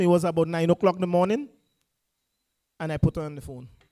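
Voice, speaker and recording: High-pitched yet dark and mellow in tone, a man speaks at a very fast pace in a dry, close recording with no echo. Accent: Grenadian. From Grenada. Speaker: political party speaker. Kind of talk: political rally speech. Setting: public meeting in a school. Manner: impassioned, rousing.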